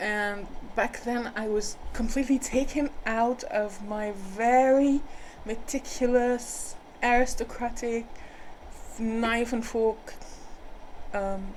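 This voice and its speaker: With an American accent, a woman speaks very slowly at a fairly high pitch, her intonation fairly even and her pauses long and frequent. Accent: switches between British and American. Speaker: spiritual healer. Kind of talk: personal storytelling monologue. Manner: hesitant, with fillers and repetitions.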